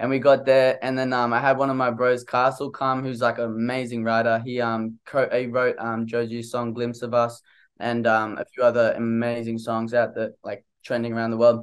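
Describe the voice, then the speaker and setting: A man speaks with monotone, flat intonation. The background is quiet. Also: moderate pace. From Australia. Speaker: singer-songwriter; interviewee. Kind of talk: interview. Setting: video call. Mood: relaxed, friendly. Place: home room. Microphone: studio mic.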